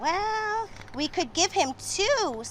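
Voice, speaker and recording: Over clear background noise, a woman performs a put-on character voice at an extremely high pitch. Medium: read story. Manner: calm, patient.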